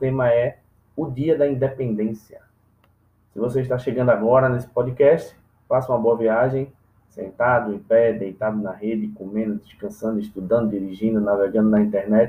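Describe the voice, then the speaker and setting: A man with a plain, everyday voice speaks at a moderate pace and medium pitch with ordinary pitch variation. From Brazil, Recife (Pernambuco). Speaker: comedian podcast host. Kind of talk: solo comedic monologue podcast.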